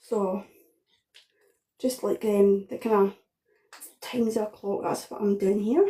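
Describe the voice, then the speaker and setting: In a strong Scottish accent, a woman with a somewhat breathy, dark, mellow tone speaks at medium pitch, fairly slowly and with fairly even intonation, leaving long, frequent pauses. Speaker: home cook. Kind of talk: cooking tutorial. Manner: casual, hesitant with fillers.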